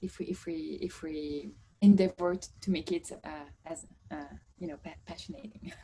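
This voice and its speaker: In a strong French accent, a woman speaks at a moderate pace in a somewhat breathy voice with ordinary pitch variation. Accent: French, strong (own view). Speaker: course participant. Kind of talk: introduction in online class. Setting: video call. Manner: halting, many fillers and repeats.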